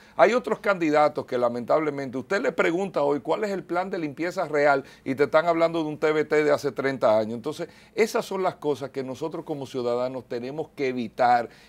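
Speaking at a fairly quick pace, a man uses lively intonation and a fairly high pitch. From Dominican Republic. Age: 40s. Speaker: mayoral candidate; candidate. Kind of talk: TV interview. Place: studio. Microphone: lapel.

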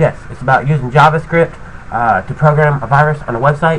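Against light background noise, a man speaks at a fairly quick pace with fairly even intonation. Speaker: tutorial maker. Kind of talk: casual vlog chat. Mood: irritated, swearing, ranting. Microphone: webcam.

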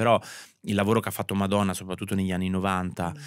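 A man speaks in a very deep, low voice with monotone, flat intonation. The sound is dry with no echo, and the background is quiet. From Italy, Marche (Ancona province). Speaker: fashion stylist. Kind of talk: interview. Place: studio. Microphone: studio mic.

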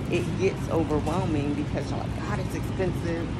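Loud background noise runs beneath a woman speaking at a moderate pace. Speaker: health vlogger. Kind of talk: tutorial. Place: shop. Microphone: phone near.

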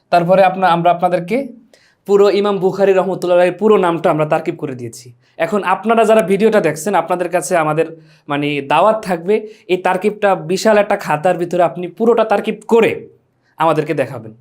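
High male voice, its pitch rising and falling in an ordinary way. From Bangladesh, Bhola. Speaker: madrasa teacher. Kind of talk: lecture.

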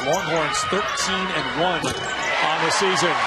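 Dry sound with no echo, over loud background noise. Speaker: play-by-play announcer. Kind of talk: live sports commentary. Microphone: headset.

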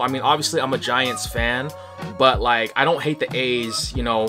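A man's fairly quick speech with ordinary pitch variation, faint music behind him. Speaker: collector vlogger. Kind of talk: casual vlog chat. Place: home room.

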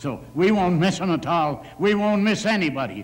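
A man speaks with vocal fry. His pace is moderate. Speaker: council chair addressing a member. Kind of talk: heated council debate remarks. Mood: angry, scolding. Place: hall. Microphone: podium.

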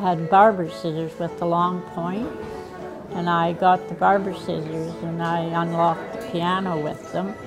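Clear music plays in the background as a woman speaks fairly slowly. Her pitch is fairly low, and her intonation is fairly even. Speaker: pianist and musician. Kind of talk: casual interview answer. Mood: warm reminiscing. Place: hall. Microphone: lapel.

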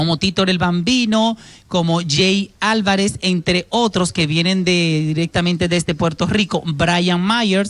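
A woman's fairly slow delivery with ordinary pitch variation. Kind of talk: TV entertainment news report. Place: studio. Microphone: handheld.

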